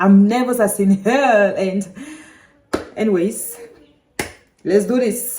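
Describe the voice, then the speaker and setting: A woman speaks with a Cameroonian accent at a very slow pace, leaving long, frequent pauses. Her pitch is medium and her intonation fairly even. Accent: French-speaking Cameroonian accent in English. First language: French. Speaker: vlogger, language learner. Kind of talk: casual vlog monologue. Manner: halting, with fillers.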